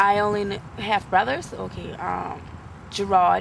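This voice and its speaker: Noticeable background noise sits behind a speaker with an American accent. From US South. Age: 20s. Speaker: interviewee. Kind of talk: interview. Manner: halting.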